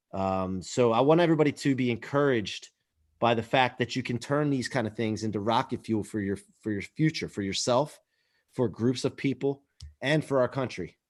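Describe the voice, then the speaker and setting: This man has a plain, everyday voice at medium pitch, with ordinary pitch variation and a fairly quick pace. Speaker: podcast host. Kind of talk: podcast intro talk. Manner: upbeat, encouraging.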